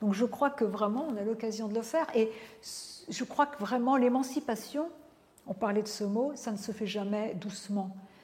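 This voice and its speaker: With noticeable background noise behind her, a woman speaks at a moderate pace in a fairly high pitch with ordinary pitch variation. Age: 50s. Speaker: philosopher and professor. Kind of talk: interview.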